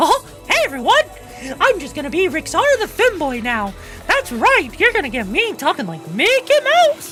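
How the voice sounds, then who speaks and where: A put-on character voice at an extremely high pitch and moderate pace, with clear music in the background. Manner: cheerful, cartoonish.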